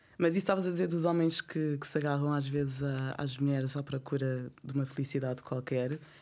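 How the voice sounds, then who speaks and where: A woman with a very deep, low pitch speaks at a fairly quick pace with fairly even intonation, in a very clean recording with a silent background. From Angola. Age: 30s. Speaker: art curator. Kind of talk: casual chat.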